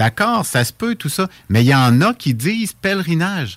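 A man speaks at a moderate pace with very wide pitch swings. The sound is dry and close with no echo, and the background is silent in a very clean recording. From Quebec, Laurentides (Saint-Jérôme). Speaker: monthly radio columnist on pilgrimage. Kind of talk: radio chronicle discussion.

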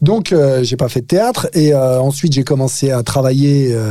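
Speaking at a fairly quick pace, a man with a medium pitch sounds somewhat breathy, his tone dark and mellow and his pitch variation ordinary. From France, Paris suburbs (Nanterre). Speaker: actor. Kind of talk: casual chat. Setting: studio.

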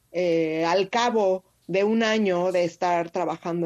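With a quiet background, a woman speaks in a normal speaking voice at medium pitch with ordinary pitch variation. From Mexico City. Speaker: street photographer. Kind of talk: interview.

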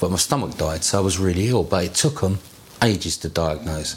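Over noticeable background noise, a man with a very deep, low voice speaks at a moderate pace with lively intonation. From west London. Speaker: interviewee in oral history. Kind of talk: life story interview.

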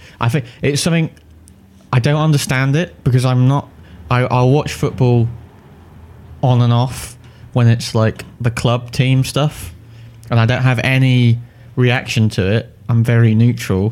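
Here a man with an English accent talks at a fairly slow pace, with long, frequent pauses. His medium pitch holds a fairly even intonation, and his loudness stays very even. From England. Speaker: podcast co-host about games and films. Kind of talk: casual chat.

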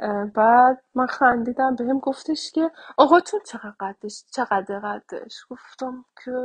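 In a dry, close sound with no echo, a woman speaks with a high pitch. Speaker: interviewee. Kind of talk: testimony. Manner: halting.

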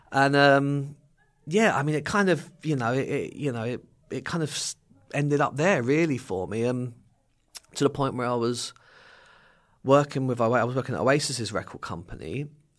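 A man with an English accent at a moderate pace, with ordinary pitch variation and long, frequent pauses, on a very clean recording with a silent background. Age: 40s. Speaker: recovering addict, charity campaigner. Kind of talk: interview conversation. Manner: hesitant, many fillers.

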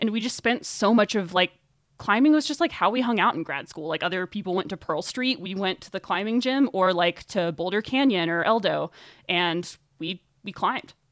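A woman with an unremarkable speaking voice at medium pitch talks at a fairly quick pace, with lively intonation and big swings in loudness. The sound is dry and close with no echo, in a very clean recording with a silent background. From US South, Northwest Arkansas. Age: 20s. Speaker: runner, writer and podcast host. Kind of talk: interview conversation.

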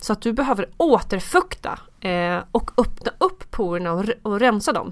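In a very clean recording with a silent background, a woman with a fairly high pitch and an ordinary speaking voice speaks at a moderate pace. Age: 30s. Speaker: skincare expert and TV casting worker. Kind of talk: casual chat.

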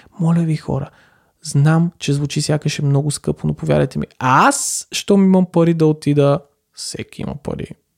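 In a dry, close sound with no echo, a man with a fairly high pitch speaks at a moderate pace, somewhat breathy, with fairly even intonation. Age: 20s. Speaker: podcaster. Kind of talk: solo monologue.

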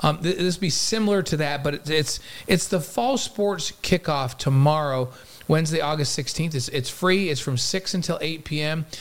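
A normal speaking voice from a man with an American accent, fairly high in pitch, with ordinary pitch variation and a moderate pace. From New York. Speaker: podcast co-host. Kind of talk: casual chat. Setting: studio.

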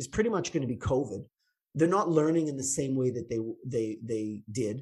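A man speaks with a Canadian accent. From Canada, Toronto. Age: 50s. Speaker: chiropractor. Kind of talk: interview.

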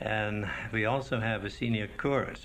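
The speaker is a man with a fairly low pitch. Room echo is audible. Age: old. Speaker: retiree and choir director. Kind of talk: interview.

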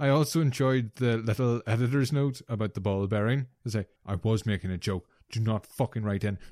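A man speaks at a fairly quick pace with a medium pitch, a dark, mellow tone and ordinary pitch variation. The sound is dry and close, with no echo. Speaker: co-host. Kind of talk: casual banter.

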